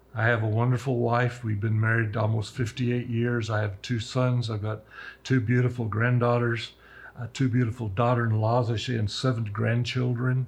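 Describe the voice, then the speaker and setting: Against a quiet background, a somewhat breathy voice moves at a moderate pace in monotone, flat intonation. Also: man, medium pitch for a man. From Roswell, New Mexico. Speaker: local businessman. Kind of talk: interview.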